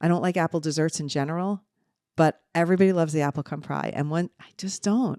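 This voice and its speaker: A woman's fairly low voice with a slight New Jersey accent, fairly quick and animated, in a very clean recording with a silent background and a dry, close sound free of echo. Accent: New Jersey, mild. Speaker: podcast co-host, mother. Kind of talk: casual chat.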